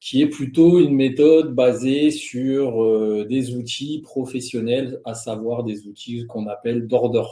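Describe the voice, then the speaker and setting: A man's very slow delivery with fairly even intonation. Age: 40s. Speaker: trader and trading instructor. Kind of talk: webinar presentation.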